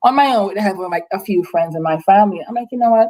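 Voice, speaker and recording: A woman's dark, mellow voice with an Antiguan accent at a very fast pace. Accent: Antiguan Caribbean. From Caribbean, Antigua. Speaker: nursing assistant and nonprofit founder. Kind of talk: casual interview. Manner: animated, many repetitions and fillers.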